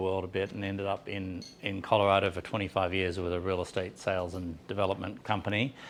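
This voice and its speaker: Speaking at a fairly quick pace, a man with an American accent has a fairly low pitch. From Australia, Sydney. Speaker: business owner. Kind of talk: conference presentation. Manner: halting, many fillers.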